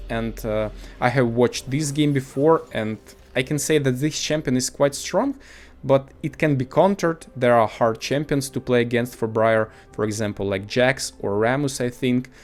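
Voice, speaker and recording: The speaker has a non-native accent and ordinary pitch variation. The pace is moderate. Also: man. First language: not English. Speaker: gaming video commentator. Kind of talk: gameplay commentary. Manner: halting, many fillers.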